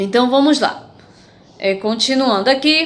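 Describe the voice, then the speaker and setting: Very wide pitch swings against audible room echo. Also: woman. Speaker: schoolteacher. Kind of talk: online lesson for children.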